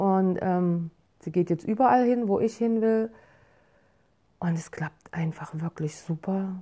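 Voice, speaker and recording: Speaking at a very slow pace with long, frequent pauses, a woman has a medium pitch, ordinary pitch variation and a dark, mellow tone against a quiet background. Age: 50s. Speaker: podcaster and yoga enthusiast, works on a horse farm. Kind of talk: casual personal journal monologue. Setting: at home.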